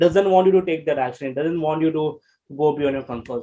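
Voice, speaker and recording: A man with an Indian accent, lively intonation and a dark, mellow tone. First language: Hindi. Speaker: life coach. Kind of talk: interview. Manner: halting.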